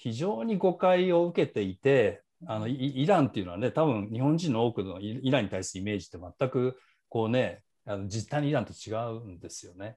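A man speaks at a fairly quick pace in a dark, mellow tone, with very wide pitch swings and big swings in loudness. The background is quiet. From Japan. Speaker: author and business school instructor; business school instructor. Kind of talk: seminar talk. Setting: video call. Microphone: earbuds.

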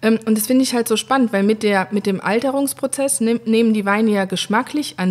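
A woman speaks in a normal speaking voice at a fairly high pitch. Her pace is fairly quick, with ordinary pitch variation. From Saar region, Germany. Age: 30s. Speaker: winemaker. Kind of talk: interview. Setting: at the winery.

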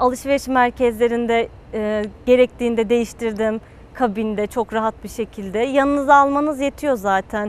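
At a moderate pace, a woman speaks at a fairly high pitch with fairly even intonation and a dry sound with no echo. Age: 20s. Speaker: patient, university student. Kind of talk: testimony. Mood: positive, relieved. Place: garden.

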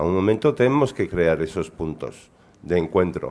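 A man speaks at a fairly slow pace. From Belgium. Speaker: panel moderator and cyberactivist; panel moderator. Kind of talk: panel moderation. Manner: halting. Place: meeting room. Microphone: podium.

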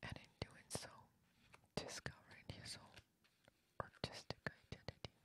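The voice is whispering. Long, frequent pauses break it up. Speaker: ASMR art narrator. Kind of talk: ASMR art book reading. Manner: whispered; slow.

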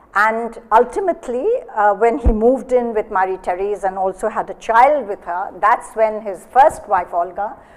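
Here a woman talks with an Indian accent at a moderate pace. Her pitch varies in an ordinary way. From India, Bengal. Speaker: gallery director and moderator; moderator. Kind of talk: moderating a panel discussion. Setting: gallery with live audience. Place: hall.

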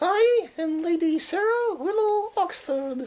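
A woman puts on a character voice at an extremely high pitch, speaking at a fairly slow pace. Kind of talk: affected, upper-class.

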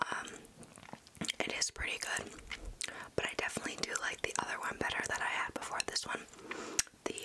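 Loud noise fills the background. Over it, a woman speaks fairly quickly. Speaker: ASMR creator. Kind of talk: soft casual ASMR tasting chat. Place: home room. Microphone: studio mic.

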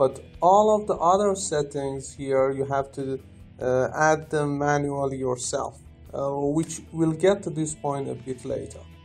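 Music plays behind a voice that moves at a fairly slow pace. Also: man. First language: not English. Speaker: software developer. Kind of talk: software tutorial narration. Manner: hesitant, many filler sounds.

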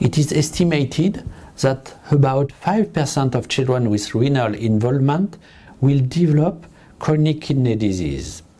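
A man's somewhat breathy, dark, mellow voice in a French accent, fairly high in pitch, with lively intonation, very even loudness and a fairly slow pace. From France. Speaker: pediatric nephrologist. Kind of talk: lecture. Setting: web conference. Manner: halting.

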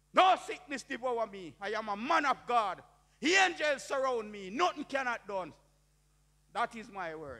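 Against a quiet background, a man uses a raised, projected voice at an extremely high pitch, with very wide pitch swings and big swings in loudness. His tone is bright and sharp. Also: moderate pace. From Jamaica. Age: 60s. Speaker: preacher. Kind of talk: testimony. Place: church. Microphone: handheld.

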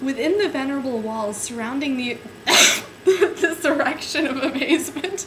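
Amid loud background noise, a woman speaks in an amused tone at a high pitch and a moderate pace. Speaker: amateur reader. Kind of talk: dramatic reading of a book to camera, giggling; casual talk to camera. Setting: home webcam recording. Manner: giggly, amused, stumbling over words. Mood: amused, suppressing giggles. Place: home room. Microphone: webcam.

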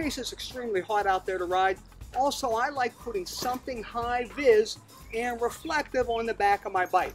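The speaker talks at a moderate pace with ordinary pitch variation, while faint music plays in the background. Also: man, extremely high pitch for a man. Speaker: motorcycle safety instructor. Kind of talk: tutorial. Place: garden.

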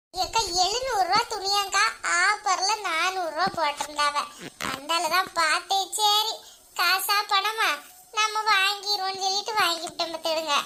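A woman uses a put-on character voice pitched extremely high. She speaks at a very slow pace with ordinary pitch variation. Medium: comedy sketch. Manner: chatty, conspiratorial.

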